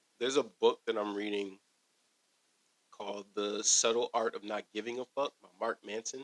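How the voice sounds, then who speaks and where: A man speaks at a medium pitch with an American accent, his intonation flat and monotone. The sound is dry and close, with no echo. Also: moderate pace. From New Jersey, Paterson. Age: 20s. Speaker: dancer, school aide. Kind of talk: casual chat.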